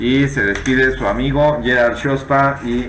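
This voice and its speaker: A man speaks at a fairly low pitch. There is noticeable background noise and audible room echo. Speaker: math teacher. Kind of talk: tutorial.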